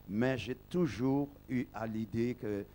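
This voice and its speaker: The man's voice has a dark, mellow tone and pitch that shifts in a typical way. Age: 60s. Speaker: pastor. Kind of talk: testimony speech at an ordination service. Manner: halting.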